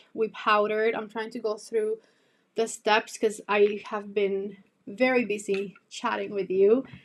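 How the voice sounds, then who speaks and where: A woman with a Spanish accent talks at a fairly slow pace in a fairly high pitch. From Cuba. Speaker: beauty youtuber. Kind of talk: casual chat. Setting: live stream. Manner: chatty.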